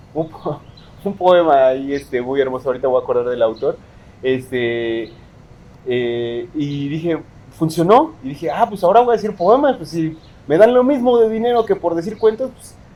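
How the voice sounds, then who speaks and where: Noticeable background noise runs under a man speaking in a Mexico City accent. His fairly high voice makes very wide pitch swings at a moderate pace. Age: 30s. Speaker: poet. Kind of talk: interview.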